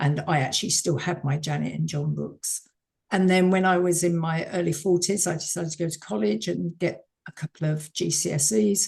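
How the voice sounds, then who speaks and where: Talking at a fairly quick pace, a woman with a fairly low pitch and vocal fry speaks in a southern English accent. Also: ordinary pitch variation. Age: 70s. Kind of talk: interview.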